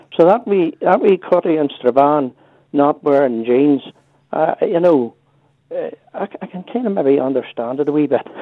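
Lively intonation runs through this speech in a Northern Irish accent. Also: man, fairly high pitch for a man, moderate pace. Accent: rural Northern Irish. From Northern Ireland. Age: 60s. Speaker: caller. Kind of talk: radio phone-in chat. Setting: phone call. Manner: animated.

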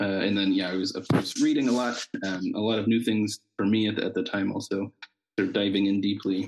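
Fairly quick and flat in intonation, a man with an American accent speaks at a fairly low pitch. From Southern Ohio (Appalachian region). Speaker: church musician and theology student. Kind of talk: casual interview conversation. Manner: hesitant, many fillers.

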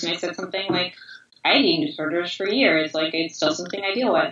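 A woman speaks with very wide pitch swings. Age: 20s. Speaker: graduate student. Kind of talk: interview.

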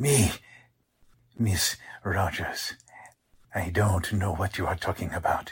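A man speaks slowly in a put-on character voice that is low-pitched with a husky, rough edge and ordinary pitch variation.

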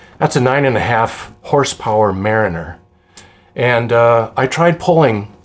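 A man talks at medium pitch. Noticeable background noise runs behind him. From US Upper Midwest, Minnesota. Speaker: podcast co-host. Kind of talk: casual chat.

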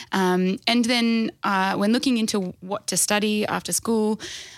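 A woman talks with an Australian accent. The recording is very clean, and the background is silent. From Australia, Canberra. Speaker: dietitian. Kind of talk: casual interview chat.

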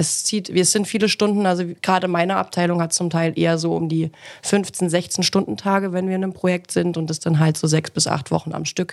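In a normal speaking voice, a woman with a fairly low pitch talks at a fairly quick pace with fairly even intonation. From Thuringia, Germany (Ilmenau). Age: 30s. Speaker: film production set manager. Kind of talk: casual chat.

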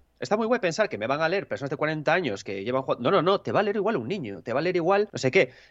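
A man talks at a very fast clip with hardly any pauses, his fairly high voice carrying vocal fry and swinging very widely in pitch, in a dry, close recording with no echo. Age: 40s. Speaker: author. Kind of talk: casual chat.

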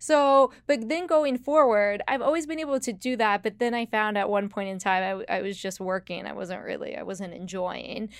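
At a fairly quick pace, a woman speaks in a plain, everyday voice with ordinary pitch variation on a very clean recording with a silent background. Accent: American. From West Virginia, rural. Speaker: realtor. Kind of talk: interview. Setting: studio.

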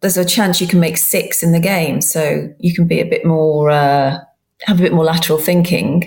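Somewhat breathy, the voice keeps to a moderate speed. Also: woman. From England. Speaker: football journalist. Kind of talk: casual chat. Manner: animated.

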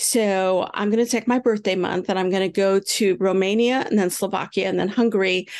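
A woman with an American accent speaks at a fairly quick pace in a medium pitch with fairly even intonation. It is an unremarkable speaking voice, set against a quiet background. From upstate New York. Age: 60s. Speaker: spiritual healer and teacher. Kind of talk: interview about spirituality. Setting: remote call from a houseboat.

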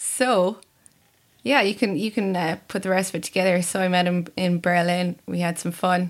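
A woman's medium-pitched voice in an Irish accent, with fairly even intonation at a moderate pace. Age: 30s. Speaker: sanctions analyst. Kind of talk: casual chat.

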